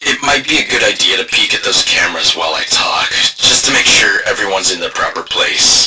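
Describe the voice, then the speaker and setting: Putting on a raspy character voice, a man talks at a moderate pace. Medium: solo performance. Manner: hesitant, filler-heavy, stammering.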